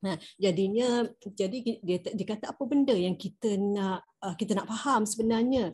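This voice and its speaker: A woman's somewhat breathy voice with a dark, mellow tone, ordinary pitch variation, and moderate pace against a quiet background. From Malaysia. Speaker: study circle participant. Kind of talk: discussion. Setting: video call. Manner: halting, many fillers. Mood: calm, reflective. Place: home room. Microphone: video call.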